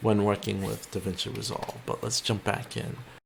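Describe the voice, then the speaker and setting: A man with a plain, everyday voice speaks at a moderate pace. His pitch is fairly low. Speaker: video editor and YouTuber. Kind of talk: tutorial. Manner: casual, with fillers.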